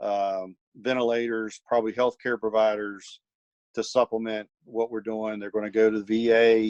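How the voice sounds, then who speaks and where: With a slight Virginia accent, a man talks at a medium pitch and moderate pace in a monotone, flat intonation, the sound dry and close with no echo. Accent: slight Virginia twang. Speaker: military college professor. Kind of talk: podcast interview. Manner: halting.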